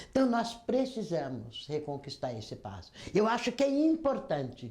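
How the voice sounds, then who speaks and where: Using vocal fry and a dark, mellow tone, a woman speaks at a fairly slow pace. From Brazil, Campinas (São Paulo state). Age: 70s. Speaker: labor union leader and health worker. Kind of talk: oral history testimony.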